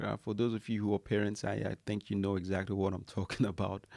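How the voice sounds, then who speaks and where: In a very clean recording with a silent background and a dry, close sound with no echo, a man with a fairly low pitch speaks at a fairly quick pace in a monotone, flat intonation. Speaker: iOS developer. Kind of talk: podcast intro to camera.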